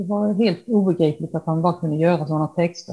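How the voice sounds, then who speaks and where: With a dark, mellow tone and some breathiness, the voice keeps a moderate pace and varies its pitch in an ordinary way. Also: woman. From Halmstad, Sweden. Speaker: painter inspired by Dylan. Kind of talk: casual interview chat.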